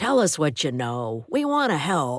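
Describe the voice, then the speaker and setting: At a moderate pace and middle pitch, the speaker uses a put-on character voice. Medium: read story.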